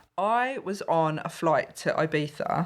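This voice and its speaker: Here is a woman with an Essex accent whose pitch swings very widely. The recording is very clean, with a silent background. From Essex, England. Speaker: stand-up comedian. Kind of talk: podcast interview answer.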